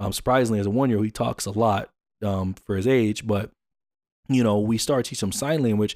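In a very clean recording with a silent background, a man with an American accent speaks very fast with fairly even intonation. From US. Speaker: podcast host. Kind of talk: casual monologue.

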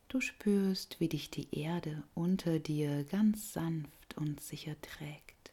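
A woman speaks very slowly in a very deep, low pitch, her tone dark, mellow, soothing and gentle. Her voice is somewhat breathy, with ordinary pitch variation. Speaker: yoga nidra guide. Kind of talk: guided meditation. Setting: recorded audio for listener lying down. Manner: slow, soft and soothing; gentle, calm, unhurried with long pauses.

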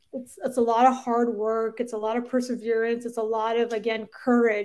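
A woman's fairly high voice with a Canadian accent, at a moderate pace. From Canada. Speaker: orthopedic surgeon and startup founder. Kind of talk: interview conversation. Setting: podcast recording.

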